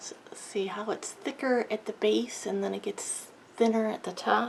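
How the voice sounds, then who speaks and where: Noticeable noise fills the background. A woman's speech moves at a moderate pace. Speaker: card-making crafter. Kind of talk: tutorial. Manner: mumbling at times; relaxed, casual.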